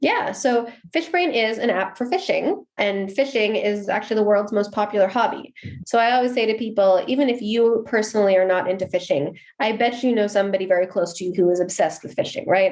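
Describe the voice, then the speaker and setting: Speaking with an American accent, a woman uses a normal speaking voice at a fairly high pitch with ordinary pitch variation and a fairly quick pace. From US, Seattle. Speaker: marketing executive. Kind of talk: podcast interview.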